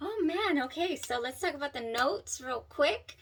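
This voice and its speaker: A woman's high, animated voice with lively intonation at a moderate pace, with noticeable background noise. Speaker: perfume reviewer. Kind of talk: product review. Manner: stumbling over words.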